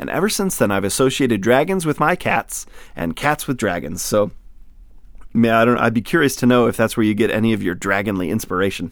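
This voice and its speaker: An ordinary speaking voice with an American accent at a fairly quick pace, in a very clean recording with a silent background. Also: man, medium pitch for a man, lively intonation. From US Midwest, northern Lower Peninsula of Michigan. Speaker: podcast host and audiobook narrator. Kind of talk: casual chat; reading aloud.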